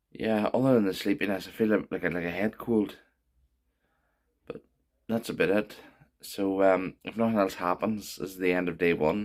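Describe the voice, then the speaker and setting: With a Northern Irish accent, a man speaks with long, frequent pauses. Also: fairly low pitch for a man, moderate pace. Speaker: vlogger. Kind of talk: video diary.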